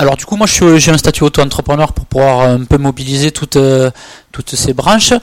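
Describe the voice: A man's fairly quick speech with fairly even intonation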